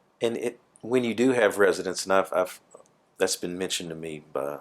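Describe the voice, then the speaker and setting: A man speaks with a Southern US accent. His intonation is lively. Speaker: plaintiff lawyer. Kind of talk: deposition questioning.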